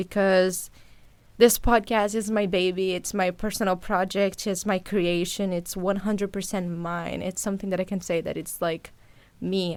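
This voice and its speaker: The recording is very clean, with a silent background. A woman with a Portuguese accent speaks at a medium pitch with fairly even intonation. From Brazil, Sao Paulo. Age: 20s. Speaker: podcast host, journalist. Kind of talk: casual monologue to listeners.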